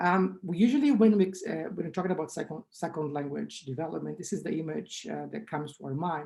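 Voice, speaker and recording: Vocal fry runs through this woman's very deep, low-pitched voice with its dark, mellow tone. She moves at a fairly quick pace with ordinary pitch variation. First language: Portuguese. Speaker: linguistics researcher. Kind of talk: conference talk.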